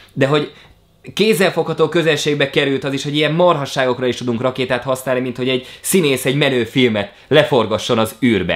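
Over a quiet background, a man with a fairly high pitch talks at a fairly quick pace, his pitch varying in an ordinary way. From Hungary. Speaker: YouTuber. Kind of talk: vlog monologue. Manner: animated. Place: home room.

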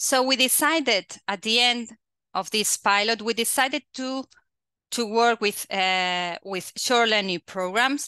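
A woman speaks fairly slowly in a bright, sharp tone with ordinary pitch variation and long, frequent pauses. The sound is dry with no echo over a quiet background. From Catalonia, Spain. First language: Spanish or Catalan. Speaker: quality assurance agency head; webinar presenter. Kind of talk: presentation. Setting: video call. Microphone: headset.

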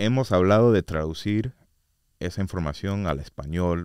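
At a fairly slow pace, a man talks with ordinary pitch variation in a dry sound with no echo and a quiet background. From US, Orlando, Florida; Florida. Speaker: state commission researcher; guest. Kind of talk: casual interview; interview answer. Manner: hesitant, many fillers. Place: studio. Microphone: studio mic.

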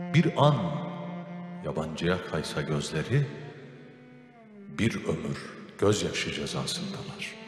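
A man talks at a very slow pace with very wide pitch swings. Faint music sits in the background, and room echo is audible. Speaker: radio/TV program host. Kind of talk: poetry reading. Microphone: handheld.

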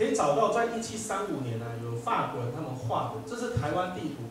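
With very wide pitch swings, a man speaks amid strong room echo and light background noise. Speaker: law professor. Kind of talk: lecture. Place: hall. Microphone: pa.

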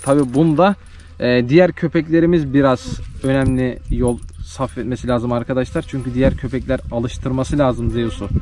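With an ordinary speaking voice, a man talks at a moderate pace in a medium pitch with ordinary pitch variation, the sound dry with no echo and light background noise. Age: 20s. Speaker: village life and livestock vlogger; livestock vlogger. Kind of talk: casual vlog talk to camera. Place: farm. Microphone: phone near.

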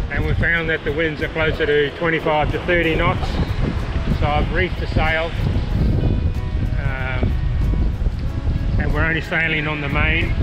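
Clear music plays in the background as the speaker moves at a moderate pace, broken by long, frequent pauses. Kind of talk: casual vlog chat. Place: boat. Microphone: phone near.

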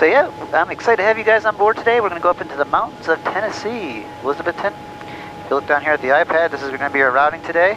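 Music plays behind a man talking at a very fast pace. His pitch swings very widely, and the sound is dry with no echo. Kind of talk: casual vlog chat. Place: plane. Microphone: headset.

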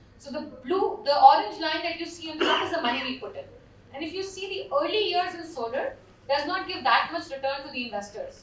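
The voice moves at a fairly quick pace with very wide pitch swings and audible room echo. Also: woman, extremely high pitch for a woman. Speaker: panelist. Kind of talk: conference presentation. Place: hall.

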